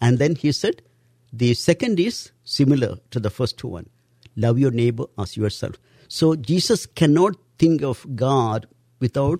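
A man with an Indian accent speaks at a fairly slow pace, with long, frequent pauses, lively intonation, and a somewhat breathy, dark, mellow tone at medium pitch. The recording is very clean with a silent background, and the sound is dry and close with no echo. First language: Indian language. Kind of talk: interview, religious teaching.

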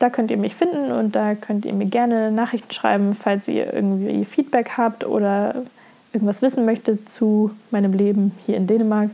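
A woman talks with ordinary pitch variation. Noticeable background noise runs underneath. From Lower Saxony, Germany. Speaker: podcaster. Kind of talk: casual monologue.

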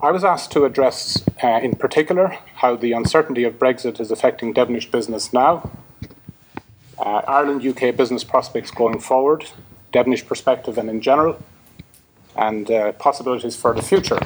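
With noticeable background noise, a man talks at a fairly quick pace in a medium pitch with ordinary pitch variation. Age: 50s. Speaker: company executive. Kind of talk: conference talk.

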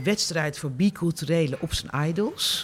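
A woman's fairly low voice, a plain, everyday voice, with ordinary pitch variation at a moderate pace. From Netherlands, Rotterdam. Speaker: columnist and journalist. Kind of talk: interview.

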